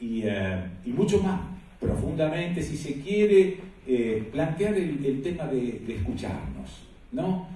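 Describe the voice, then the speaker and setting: Over noticeable background noise and audible room echo, the speaker talks at a very slow pace with very wide pitch swings. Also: man, fairly high pitch for a man. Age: 60s. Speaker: panel moderator, journalist. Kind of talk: panel discussion talk.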